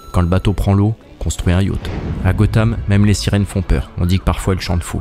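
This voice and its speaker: With noticeable background noise, a man talks at a fairly quick pace in a very deep, low pitch with ordinary pitch variation. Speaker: YouTube essayist. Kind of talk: scripted narration.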